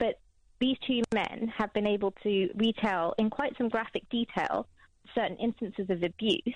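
Pitched fairly high with ordinary pitch variation, a woman talks in an ordinary speaking voice. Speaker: lawyer. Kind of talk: heated debate. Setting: phone call.

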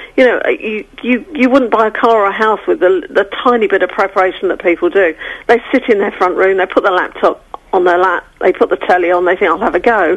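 A woman's unremarkable speaking voice, medium in pitch, with ordinary pitch variation and a fairly quick pace. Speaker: relationship expert and agony aunt. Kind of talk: radio interview, advice. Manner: brisk, assertive.

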